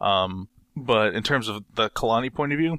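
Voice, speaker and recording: With a medium pitch and ordinary pitch variation, a man talks in a bright, sharp, playful tone, the sound dry and close with no echo on a very clean recording with a silent background. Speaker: podcast co-host. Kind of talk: casual chat. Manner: playful, joking.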